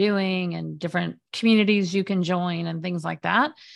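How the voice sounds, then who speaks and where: A normal speaking voice at a moderate pace. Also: woman. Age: 50s. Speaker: media specialist and former journalist. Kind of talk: interview.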